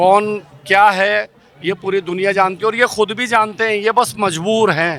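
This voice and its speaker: A man talks with a high pitch. Noticeable background noise runs behind him. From India. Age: 60s. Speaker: protester. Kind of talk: street interview. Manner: animated.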